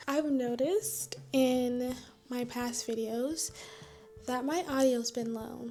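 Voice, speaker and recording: Over background music, a woman whispers quietly at a very slow pace. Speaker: vlogger. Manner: quiet, near-whispering delivery; shy, scattered.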